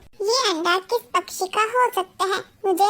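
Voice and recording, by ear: Pitched extremely high, a cartoonish character voice talks at a moderate pace.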